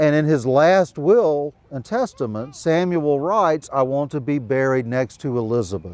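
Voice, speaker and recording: A man speaks at a moderate pace with lively intonation and hardly any pauses. It is a plain, everyday voice. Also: fairly high pitch for a man. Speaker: historian and author. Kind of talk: storytelling to a live audience. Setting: outdoors.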